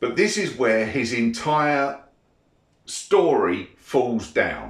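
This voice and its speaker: In a British accent, a man speaks at a very slow pace. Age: 50s. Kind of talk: casual monologue responding to comments. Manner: irritated, ranting.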